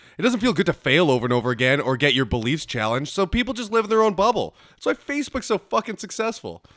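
With a Winnipeg accent, a man speaks at a very fast pace with hardly any pauses and a high pitch. His pitch swings very widely on a very clean recording with a silent background. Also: dry, close sound with no echo. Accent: Winnipeg Canadian. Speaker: podcast co-host. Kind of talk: casual chat.

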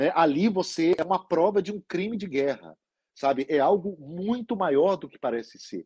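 A man with a dark, mellow tone and lively intonation, dry and close with no echo, over a quiet background. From Minas Gerais, Brazil (Lagoa Santa). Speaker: foreign correspondent, journalist. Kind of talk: Q&A talk with students. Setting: video call from London.

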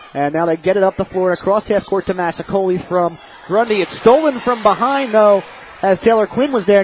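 There is noticeable background noise as a man talks at a fairly quick pace. His pitch is high, with ordinary variation. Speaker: radio play-by-play announcer. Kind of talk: live sports commentary. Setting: radio broadcast from gym. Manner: steady, even, focused on the action.

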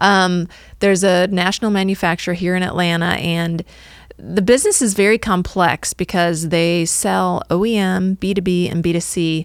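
At a moderate pace, a woman in an American accent uses an unremarkable speaking voice with medium pitch and fairly even intonation. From US Midwest, northwest Illinois. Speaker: marketing agency owner. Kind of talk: interview. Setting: studio.

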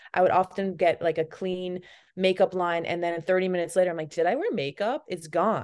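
A woman's unremarkable speaking voice with an American accent, medium in pitch, at a fairly quick pace with fairly even intonation, over a quiet background. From Massachusetts, US. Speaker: beauty brand founder. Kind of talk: casual interview.

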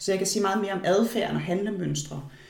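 A woman's voice with audible room echo. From Denmark. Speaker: palm analyst. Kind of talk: interview. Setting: at guest's home.

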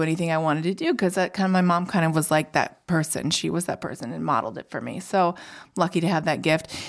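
In a very clean recording with a silent background, a woman with a normal speaking voice has a fairly low pitch and fairly even intonation. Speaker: chocolate company CEO.

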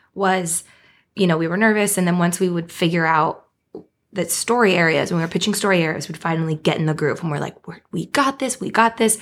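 A plain, everyday voice talks at a fairly quick pace with lively intonation. The recording is very clean, with a silent background. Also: woman. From Beaverton, near Portland, Oregon. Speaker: TV writer. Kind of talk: casual interview chat.

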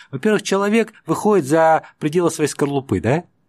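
Recorded very cleanly against a silent background, a man speaks at a fairly high pitch. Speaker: political scientist. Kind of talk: interview. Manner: hesitant, many filler sounds.

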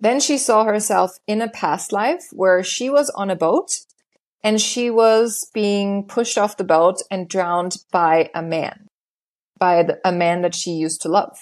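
A woman with a German accent, medium pitch, ordinary pitch variation and a fairly slow pace. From Germany, small town. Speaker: hypnotherapist. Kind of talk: interview.

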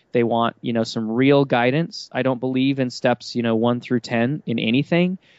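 Using an ordinary speaking voice, a man talks at a fairly quick pace and medium pitch. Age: 30s. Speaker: entrepreneur. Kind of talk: interview.

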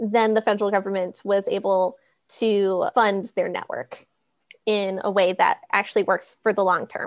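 A woman with an American accent has an ordinary speaking voice at a fairly high pitch and a fairly slow pace. The background is quiet, and the sound is dry and close with no echo. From US Midwest (Minnesota). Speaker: broadband project manager. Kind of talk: casual panel discussion.

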